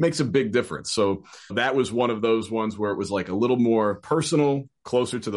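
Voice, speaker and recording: An ordinary speaking voice belongs to a man at medium pitch, moving at a fairly quick pace. His pitch varies normally, and the background is quiet. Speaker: voiceover artist and virtual session producer. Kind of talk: casual interview.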